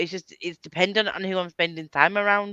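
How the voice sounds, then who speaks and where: A woman's medium-pitched voice, bright and sharp in tone, at a fairly quick pace with ordinary pitch variation, in a dry, close sound with no echo. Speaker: book channel host. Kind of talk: casual chat. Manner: animated.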